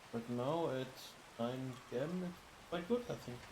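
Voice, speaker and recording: Noticeable background noise and audible room echo surround this recording. A man talks at a fairly slow pace with lively intonation. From Germany. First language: German. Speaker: streamer. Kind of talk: casual livestream chat. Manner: halting, with fillers.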